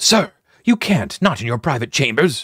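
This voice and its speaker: A man's put-on character voice at a fairly high pitch, with very wide pitch swings and a moderate pace, in a dry, close sound with no echo. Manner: protesting, deferential.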